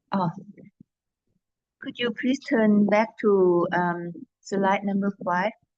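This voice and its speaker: A somewhat breathy voice at a very slow pace, with a dry, close sound and no echo. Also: woman. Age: 60s. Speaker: Buddhist nun and meditation lecturer. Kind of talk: lecture. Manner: halting, many fillers.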